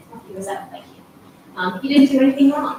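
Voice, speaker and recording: A woman speaks with an American accent and ordinary pitch variation. Audible room echo and noticeable background noise fill the recording. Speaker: resident speaking at public comment. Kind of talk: public comment at council meeting. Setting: council meeting chamber. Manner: halting.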